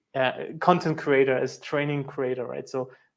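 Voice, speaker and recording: A voice with a German accent moves at a moderate pace with fairly even intonation. The recording is very clean, with a silent background. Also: man. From East Germany. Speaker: sales engineer and show host. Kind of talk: casual interview chat. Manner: halting.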